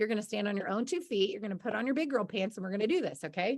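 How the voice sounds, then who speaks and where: A woman talks loudly in an animated tone, her pitch swinging very widely. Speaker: business coach for freelancers. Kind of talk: online presentation.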